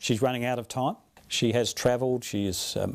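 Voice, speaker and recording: Here is a man with an Australian accent at a medium pitch. He talks at a fairly quick pace with fairly even intonation on a very clean recording with a silent background. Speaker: radio host and journalist. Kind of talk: interview. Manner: halting.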